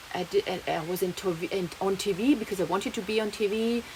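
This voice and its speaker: Over noticeable background noise, a woman with a German accent speaks at a moderate pace. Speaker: vlogger. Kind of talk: personal vlog monologue. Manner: halting, many fillers and restarts.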